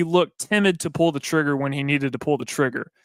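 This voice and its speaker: The sound is dry and close, with no echo. A man with a Southern US accent and a bright, sharp tone speaks with fairly even intonation. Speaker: sports radio co-host. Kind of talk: casual sports talk.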